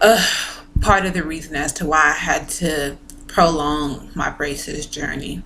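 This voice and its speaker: A woman talks very slowly, her pitch varying in an ordinary way, while noticeable noise runs in the background. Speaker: vlogger sharing braces experience. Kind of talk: casual vlog talk to camera.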